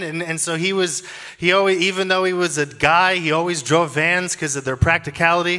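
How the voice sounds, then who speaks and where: A man speaks in a raised, projected voice. His pace is fairly quick, and the background is quiet. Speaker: preacher. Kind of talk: sermon. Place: stage. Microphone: handheld.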